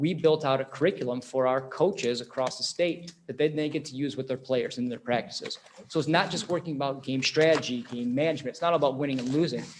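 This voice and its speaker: Over noticeable background noise, a man speaks at a very fast pace with hardly any pauses, using a fairly high pitch and ordinary pitch variation. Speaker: esports program presenter. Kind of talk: presentation. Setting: school board meeting. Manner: animated.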